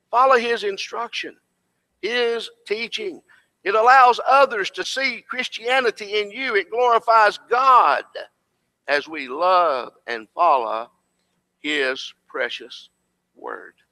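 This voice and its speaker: Over a quiet background, a man with an American accent speaks in a raised, projected voice, extremely high in pitch, bright and sharp in tone, with lively intonation, a very slow pace, and long, frequent pauses. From Tennessee. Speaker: preacher and preaching school instructor; preacher, preaching school instructor. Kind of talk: sermon. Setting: church class with audience. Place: church.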